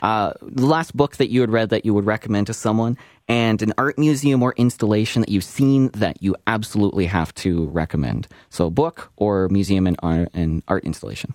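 This man has an ordinary speaking voice, fairly low in pitch, moving at a fairly quick pace with lively intonation and very even loudness, in a dry, close sound with no echo. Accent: Canadian. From Okotoks, Alberta, Canada. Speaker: podcast host. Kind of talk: interview.

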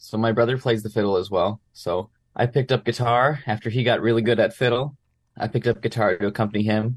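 In a very clean recording with a silent background, a man with a Manitoban accent speaks very fast at a medium pitch, with fairly even intonation and a somewhat breathy sound. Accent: Canadian (Manitoba). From Brandon, Manitoba, Canada. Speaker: musician. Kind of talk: interview.

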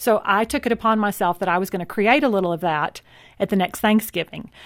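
The speaker talks at a very fast pace with a Texan accent. The recording is very clean, with a silent background. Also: woman. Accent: Texan American. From Texas (city upbringing). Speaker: author. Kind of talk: interview.

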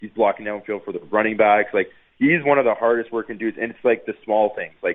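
A man with a Canadian accent at a very fast pace. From Ontario, Canada (Niagara Falls). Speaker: former pro football player. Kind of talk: casual radio interview. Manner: halting, repetitive.

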